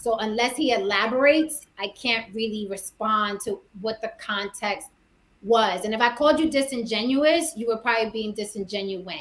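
Using an American accent, a woman talks at a moderate pace with an unremarkable speaking voice. Her pitch is fairly high and varies in an ordinary way. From New York, the Bronx. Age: 40s. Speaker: actress and YouTuber. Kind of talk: casual chat.

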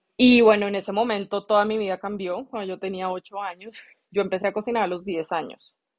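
At a fairly quick pace, an unremarkable speaking voice keeps its intonation fairly even. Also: woman. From Colombia, Bogotá. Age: 30s. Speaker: chef. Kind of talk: interview.

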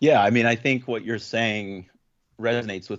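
A man speaks at a moderate pace with fairly even intonation. His is an unremarkable speaking voice. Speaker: podcast host. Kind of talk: casual chat.

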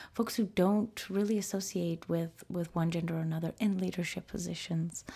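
In an American accent, a woman speaks in a flat monotone at a fairly low pitch, her dark, mellow tone somewhat breathy, on a very clean recording with a silent background. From United States, Peruvian family. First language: Spanish. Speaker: gender issues professional. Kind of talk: interview conversation. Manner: halting with many fillers.

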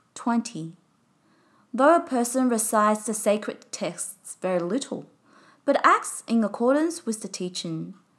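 Her voice fairly high, a woman talks at a fairly slow pace with lively intonation. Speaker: podcast narrator reading retreat report and teachings. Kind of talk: scripted narration and reading aloud.

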